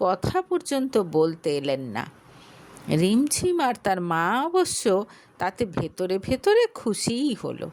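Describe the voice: A woman speaks slowly with a slightly mellow tone. Her pitch makes big swings.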